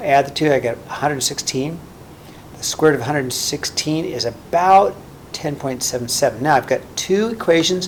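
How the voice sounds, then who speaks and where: Noticeable background noise behind a man's voice, fairly high in pitch with ordinary pitch variation. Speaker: math teacher. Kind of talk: tutorial. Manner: fast; casual, with fillers.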